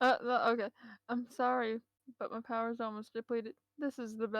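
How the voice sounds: The room around the voice is quiet. It is a natural reading voice.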